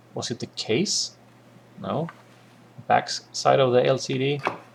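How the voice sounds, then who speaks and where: The speaker has a non-native accent. Noticeable noise sits in the background. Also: man. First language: not English. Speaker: electronics hobbyist. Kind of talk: improvised build commentary. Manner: hesitant, many filler sounds.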